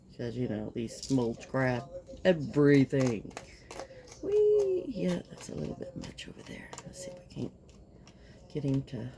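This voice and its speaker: Over noticeable background noise, a woman with a slight Kentucky accent talks at a fairly slow pace, leaving long, frequent pauses. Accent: slight Southern US (Kentucky). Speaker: resin crafter. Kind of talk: craft tutorial. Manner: casual, chatty.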